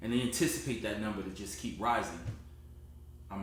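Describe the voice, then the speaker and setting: A somewhat breathy man with a New Jersey accent, at a fairly quick pace with ordinary pitch variation, in audible room echo. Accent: New Jersey American. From US Northeast, Newark, New Jersey. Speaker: credit repair consultant. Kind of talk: sales pitch. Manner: direct, conversational.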